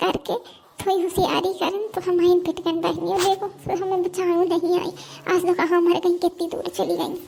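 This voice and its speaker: A woman does a cartoonish character voice at an extremely high pitch and a moderate pace. Background noise is clearly heard. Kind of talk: rustic comic cartoon voice. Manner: loud, dramatic, rustic.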